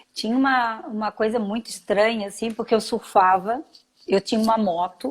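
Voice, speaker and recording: Somewhat breathy and fairly high, a woman's voice keeps a moderate pace and varies in pitch in an ordinary way. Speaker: school founder and entrepreneur. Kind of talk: interview.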